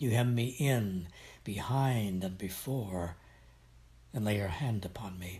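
Somewhat breathy and fairly low, a man's voice has a dark, mellow, solemn tone. He goes at a very slow pace with ordinary pitch variation and long, frequent pauses. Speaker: devotion reader. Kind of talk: reading aloud of scripture and devotional prayer, reverent and fervent. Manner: solemn, reverent, measured.

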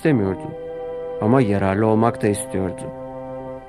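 Lively intonation in an unforced reading voice.

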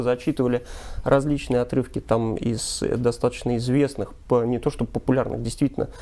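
A man talks at a fairly quick pace. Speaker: TV news presenter. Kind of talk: commentary. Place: studio. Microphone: lapel.

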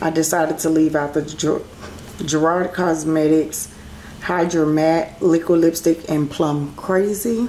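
Through noticeable background noise, a woman talks at fairly low pitch and a fairly slow pace. Her intonation is fairly even and her loudness very even. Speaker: beauty vlogger. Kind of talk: casual chat. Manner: casual, chatty.

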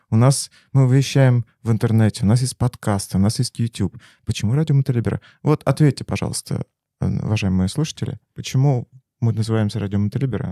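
A man with a dark, mellow tone speaks at a medium pitch and a fairly quick pace, with ordinary pitch variation. The sound is dry and close with no echo, in a very clean recording over a silent background. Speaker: podcast host. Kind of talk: casual interview chat.

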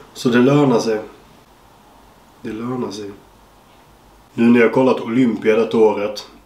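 A man's loudness swings widely, and he leaves long, frequent pauses. An audible room echo surrounds his voice. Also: medium pitch for a man, fairly even intonation, moderate pace. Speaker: bodybuilder and YouTuber. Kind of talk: casual vlog. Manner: casual, swearing-laden.

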